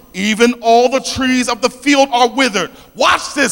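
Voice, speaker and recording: An energetic man with a South Philadelphia accent. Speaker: preacher. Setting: church. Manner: energetic, call-and-response preaching.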